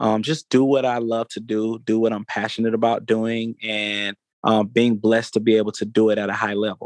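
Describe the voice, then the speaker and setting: Speaking with an Atlanta accent, a man keeps a medium pitch and a moderate pace. His intonation is monotone and flat, over a quiet background. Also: dry, close sound with no echo. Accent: Southern US (Atlanta). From US South, Atlanta, Georgia. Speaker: music entrepreneur and foundation founder. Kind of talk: interview. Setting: studio. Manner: halting, many repetitions and fillers.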